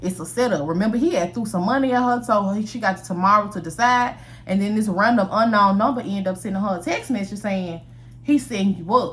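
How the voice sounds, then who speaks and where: A woman talks at a fairly quick pace in an animated tone, somewhat breathy. Her pitch is medium, with ordinary variation. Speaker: storyteller. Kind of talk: storytelling. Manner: fast.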